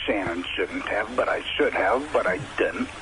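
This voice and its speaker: The speaker has an American accent and talks at a moderate pace. Music plays in the background. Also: man. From US Northeast, Providence, Rhode Island. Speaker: rock musician. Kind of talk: radio interview.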